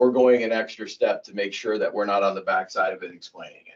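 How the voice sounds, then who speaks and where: At a fairly quick pace, a man delivers his words. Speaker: town manager. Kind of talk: report at town council meeting. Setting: town council meeting. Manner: fast.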